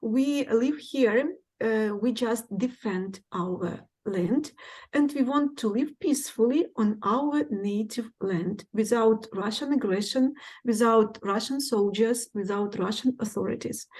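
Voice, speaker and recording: A woman speaks at a fairly slow pace with a fairly high pitch. Her voice is somewhat breathy. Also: ordinary pitch variation. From Ukraine. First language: Ukrainian. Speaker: English teacher. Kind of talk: presentation. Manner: hesitant, many fillers.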